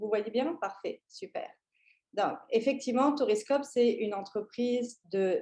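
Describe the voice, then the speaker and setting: A woman speaks at a high pitch with a dark, mellow tone. Her pace is fairly slow and her intonation lively. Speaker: tourism consultant, company founder. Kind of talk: conference presentation. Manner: hesitant, many fillers and restarts.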